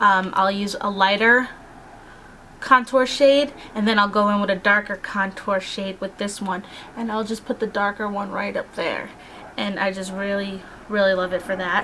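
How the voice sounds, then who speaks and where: Medium pitch from a woman in an unremarkable speaking voice, fairly even in intonation and moderate in pace. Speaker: beauty vlogger. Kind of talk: casual product review. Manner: casual, filler-heavy.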